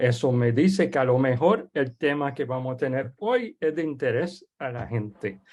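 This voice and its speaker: Over a quiet background, the speaker talks at a fairly slow pace with a French accent. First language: French (speaking Spanish). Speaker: webinar host. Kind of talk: webinar introduction. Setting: online webinar. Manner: halting.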